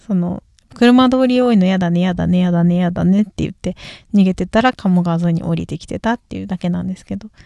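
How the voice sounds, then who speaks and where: Dark and mellow in tone, a woman speaks at medium pitch and a fairly quick pace, with ordinary pitch variation, big swings in loudness and a dry, close sound with no echo. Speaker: singer and podcast host. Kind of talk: solo casual talk. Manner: mumbling, poor articulation.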